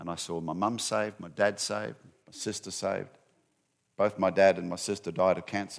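On a very clean recording with a silent background, a man with a very deep, low voice and vocal fry talks at a fairly quick pace, his intonation fairly even and his loudness swinging widely. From Australia. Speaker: ministry CEO and speaker. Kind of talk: sermon-style lecture to congregation. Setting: church stage with audience. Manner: conversational, humorous.

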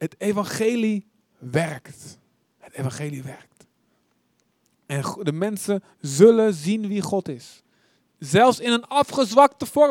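Speaking at a very slow pace with long, frequent pauses, a man uses a high pitch with very wide pitch swings. The sound is dry and close, with no echo. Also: big swings in loudness. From Netherlands, Deventer. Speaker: preacher. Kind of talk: sermon.

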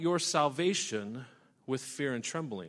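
In a very clean recording with a silent background, a man with an American accent swings his pitch very widely. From US West (Idaho). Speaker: pastor. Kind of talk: sermon.

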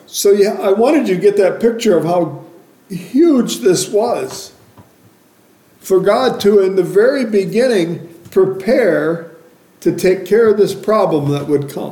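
Noticeable background noise runs behind a man speaking at a very slow pace. His pitch is high, with ordinary variation. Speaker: preacher. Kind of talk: sermon. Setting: church. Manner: loud.

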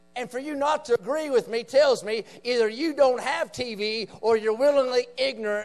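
In an Appalachian accent, a man speaks at a moderate pace with an extremely high voice. His tone is animated and his pitch varies in an ordinary way. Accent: Appalachian Southern American. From West Virginia, rural Appalachia. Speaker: visiting preacher. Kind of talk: revival sermon, fiery evangelical preaching on the nation's moral decline. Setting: church meeting with live congregation. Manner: emphatic, punchy call-and-response with repeated 'say amen' prompts; animated, rising intensity with folksy asides and jabs.

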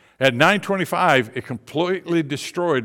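Here is a man with an ordinary speaking voice and lively intonation, talking at a moderate pace. The recording is very clean, with a silent background. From Michigan. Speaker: missionary. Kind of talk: sermon. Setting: church.

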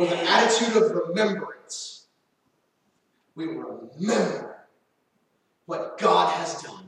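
In audible room echo, a man with an American accent speaks in an animated tone at a fairly slow pace. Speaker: preacher. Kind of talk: sermon.

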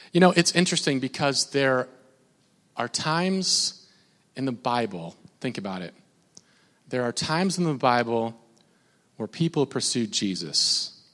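The speaker has an American accent and an animated tone with very wide pitch swings. The pace is fairly slow, with long, frequent pauses. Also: man, medium pitch for a man. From Minnesota. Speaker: pastor. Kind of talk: sermon.

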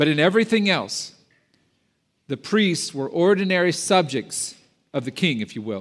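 A man speaks at a high pitch with very wide pitch swings and long, frequent pauses. The recording is very clean, with a silent background. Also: moderate pace. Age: 50s. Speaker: pastor. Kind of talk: sermon. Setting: church.

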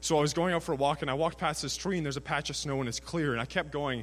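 A man speaks very fast with a Canadian accent. His voice has vocal fry. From Canada, British Columbia (Prince George). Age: 20s. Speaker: student sharing his faith story. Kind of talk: testimony.

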